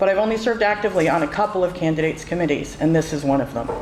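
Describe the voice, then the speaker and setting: A woman with an American accent amid noticeable background noise. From western Massachusetts, Northampton. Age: 60s. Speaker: campaign supporter. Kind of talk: public speech.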